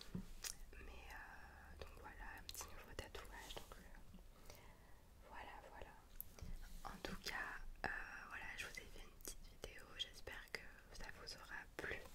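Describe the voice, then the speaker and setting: A woman whispers very slowly, with long, frequent pauses between her words. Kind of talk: casual vlog outro chat. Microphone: studio mic.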